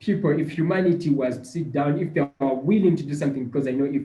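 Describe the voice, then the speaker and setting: A man's fairly high, somewhat breathy voice with a dark, mellow tone, at a very fast pace with fairly even intonation. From Uganda. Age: 20s. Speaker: climate activist. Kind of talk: casual chat. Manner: halting, with many repetitions.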